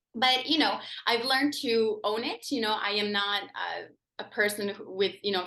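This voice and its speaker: Ordinary pitch variation runs through a tone that is bright and sharp. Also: woman. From Croatia, then Gatineau, Quebec from age 11. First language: Croatian. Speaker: criminal defence lawyer. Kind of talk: interview. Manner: hesitant, many fillers.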